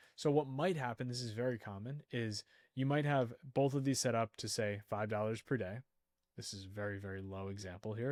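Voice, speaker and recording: A plain, everyday voice at a fairly quick pace, with a dry, close sound with no echo on a very clean recording with a silent background. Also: man. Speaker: online ads instructor. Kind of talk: screen-share tutorial.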